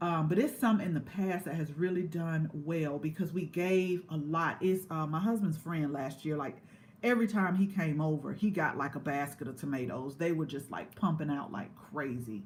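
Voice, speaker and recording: A woman speaks with a very deep, low pitch and an American accent, somewhat breathy, at a moderate pace with hardly any pauses. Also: ordinary pitch variation. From US South, Georgia (Columbus). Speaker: gardening youtuber. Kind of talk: casual livestream chat. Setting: indoors, live stream. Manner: conversational, halting with fillers.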